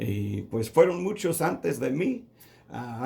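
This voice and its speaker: A man speaks with a non-native accent. His tone is dark and mellow. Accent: non-native Spanish, rusty. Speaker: pastor. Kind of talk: sermon. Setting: radio broadcast. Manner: halting, with fillers.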